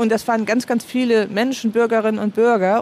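A woman with a fairly high voice talks at a fairly quick pace. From Heide, Schleswig-Holstein, northern Germany. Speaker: citizen initiative organizer. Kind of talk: interview.

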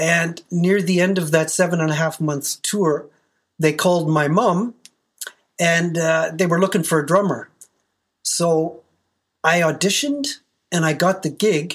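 The speech comes at a very slow pace with long, frequent pauses. The recording is very clean, with a silent background. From Canada. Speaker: professional metal drummer. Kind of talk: interview.

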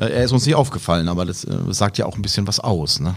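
A man with a plain, everyday voice, fairly quick pace and lively intonation. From Karlsruhe area, Baden. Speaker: blind-audience football commentator. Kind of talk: casual football chat.

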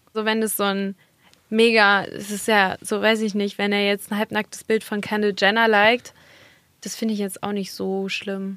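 A woman at a medium pitch and moderate pace, her intonation monotone and flat. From Germany, Dortmund (Ruhr area). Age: 20s. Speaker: model and content creator. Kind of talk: casual chat. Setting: studio.

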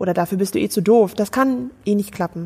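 Her pitch is fairly high, and the woman's voice shifts with ordinary pitch variation. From Germany. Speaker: theologian, pastor candidate. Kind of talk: sermon; interview. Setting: Skype call.

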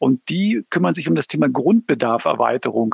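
This man has an unremarkable speaking voice, pitched fairly high. He speaks at a fairly quick pace, and the sound is dry and close with no echo. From Berlin. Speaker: automotive project manager. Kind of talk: interview. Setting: remote call.

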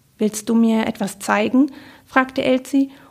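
This clip features a natural reading voice.

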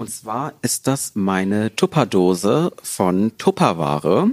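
At a very slow pace, a man with fairly low pitch is heard in a dry, close sound with no echo. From Ruhr area, Herne. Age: 20s. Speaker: law student. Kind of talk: casual chat.

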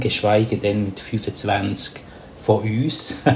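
A man is heard over noticeable background noise. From Papua New Guinea. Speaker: communication coach and mediator. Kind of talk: interview. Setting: remote call.

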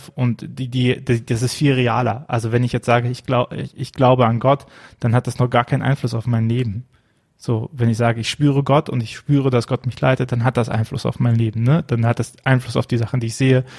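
The voice is somewhat breathy, with a monotone, flat intonation. The sound is dry and close with no echo. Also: man, medium pitch for a man, fairly quick pace. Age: 30s. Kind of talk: casual chat about a Bible text. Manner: hesitant, many filler sounds.

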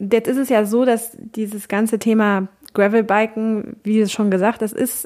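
On a very clean recording with a silent background, a woman speaks in a plain, everyday voice at a medium pitch with fairly even intonation. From Cologne, western Germany. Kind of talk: interview.

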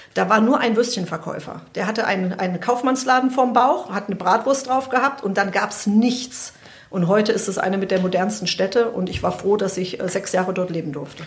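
A woman talks at a fairly quick pace amid noticeable background noise. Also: medium pitch for a woman, ordinary pitch variation. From Germany, Hesse (Frankfurt area). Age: 50s. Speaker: veterinarian.

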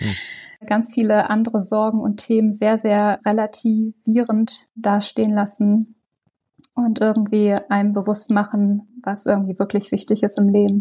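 At a fairly slow pace, a woman speaks in a somewhat breathy, dark, mellow tone, her fairly high pitch held in a monotone, flat line. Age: 40s. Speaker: project coordinator in public service. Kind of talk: interview conversation.

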